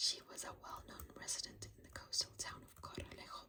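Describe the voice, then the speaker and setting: Someone whispers. The pace is fairly quick. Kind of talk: ASMR true crime narration. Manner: whispered.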